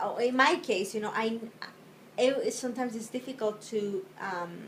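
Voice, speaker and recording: Over noticeable background noise, a woman with a Spanish accent talks at a moderate pace in a fairly high pitch with ordinary pitch variation. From Spain. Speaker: interviewee, wife and mother. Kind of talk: interview. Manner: halting.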